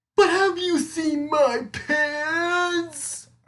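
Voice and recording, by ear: The speaker uses a put-on character voice that sounds strained and high-pitched.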